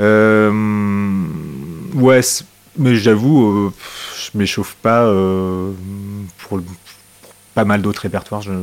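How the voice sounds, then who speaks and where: With noticeable background noise behind him, a man speaks at a very slow pace and a fairly low pitch, using fairly even intonation, big swings in loudness, and long, frequent pauses. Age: 40s. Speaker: guitarist. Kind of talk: casual chat.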